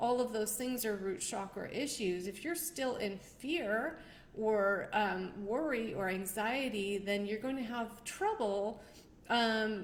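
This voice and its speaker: The voice has ordinary pitch variation. Audible room echo surrounds it. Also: woman. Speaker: numerologist and show host. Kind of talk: live stream talk. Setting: livestream.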